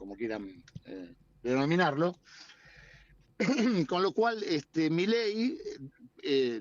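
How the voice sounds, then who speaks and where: Very slowly and with long, frequent pauses, a man speaks at a fairly high pitch, with very wide pitch swings and big swings in loudness. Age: 60s. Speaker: politician. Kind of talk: interview. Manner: hesitant, many fillers. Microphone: choppy connection.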